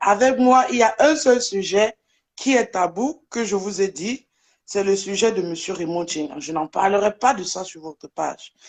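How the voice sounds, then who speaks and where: A woman's lively intonation at a fairly slow pace, against a quiet background. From Germany. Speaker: social media personality. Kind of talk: live debate.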